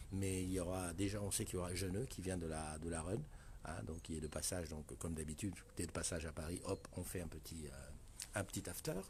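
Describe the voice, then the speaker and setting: A soft-spoken man with a very deep, low, somewhat breathy voice at a fairly quick pace. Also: fairly even intonation. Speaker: live stream host. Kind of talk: casual live stream chat. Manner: hesitant.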